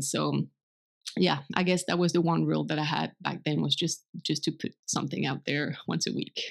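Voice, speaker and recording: The speaker has a French accent and a moderate pace. The recording is very clean with a silent background. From France. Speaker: blogger and translator. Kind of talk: casual interview conversation.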